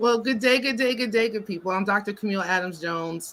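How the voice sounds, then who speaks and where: In a New York accent, a woman talks with a bright, sharp tone. Her pitch is medium, with ordinary pitch variation. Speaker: psychotherapist. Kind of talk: panel discussion. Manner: fast.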